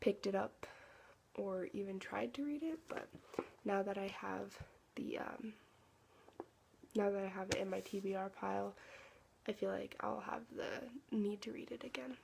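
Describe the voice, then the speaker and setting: Long, frequent pauses break up this woman's speech. Soft-spoken, she keeps a moderate pace. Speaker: book vlogger. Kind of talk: casual chat. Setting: at home. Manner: halting.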